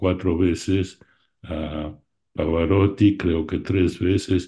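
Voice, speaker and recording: A man speaks in a very deep, low voice with a dark, mellow tone and a somewhat breathy quality. His intonation is fairly even, and the background is quiet. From Argentina. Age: 80s+. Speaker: art collector and opera enthusiast; interviewee. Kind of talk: interview reminiscence. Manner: halting. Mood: reminiscing, warm. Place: home room. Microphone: video call.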